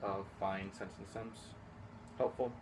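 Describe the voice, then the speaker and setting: A man at a fairly low pitch and moderate pace, with audible room echo. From Houston, Texas. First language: Spanish. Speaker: high school teacher. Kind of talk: interview.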